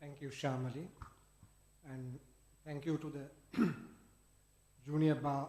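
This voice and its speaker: The voice is somewhat breathy and stays flat and monotone, with room echo clearly audible. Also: man. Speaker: senior lawyer. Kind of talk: conference speech. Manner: formal.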